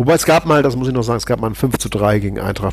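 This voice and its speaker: A man speaks over noticeable background noise. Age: 50s. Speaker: politician, member of parliament. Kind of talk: podcast interview.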